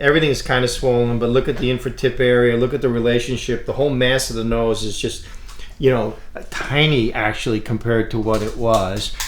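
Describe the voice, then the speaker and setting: With audible room echo and noticeable background noise, a man speaks fairly quickly. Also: medium pitch for a man. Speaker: plastic surgeon. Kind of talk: casual chat. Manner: loud; animated.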